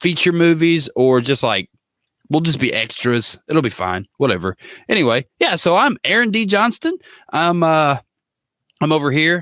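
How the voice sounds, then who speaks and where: A man with a fairly high pitch speaks at a moderate pace, his pitch swinging very widely and his loudness very even, with long, frequent pauses, in a very clean recording with a silent background and a dry, close sound with no echo. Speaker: podcast co-host. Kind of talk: casual chat. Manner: soft-spoken.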